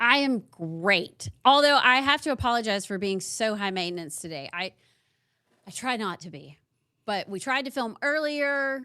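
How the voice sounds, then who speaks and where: In an East Tennessee accent, a woman speaks with a bright, sharp tone. Her pitch swings very widely and her loudness swings a lot. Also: fairly high pitch for a woman, moderate pace. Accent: Southern American (East Tennessee). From Knoxville, Tennessee. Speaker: political podcast co-host. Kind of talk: interview. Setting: video call.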